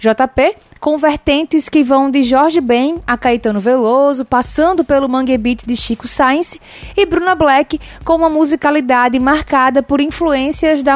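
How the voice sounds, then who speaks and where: A woman's high-pitched voice at a fairly slow pace, with noticeable background noise. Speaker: radio co-host, audiovisual technician. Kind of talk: radio presenting. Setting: radio studio.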